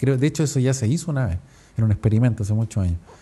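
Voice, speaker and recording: With a Chilean accent, a man speaks in a dark, mellow tone that is somewhat breathy. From Chile, Viña del Mar. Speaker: podcaster. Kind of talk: casual podcast monologue. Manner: casual, slangy.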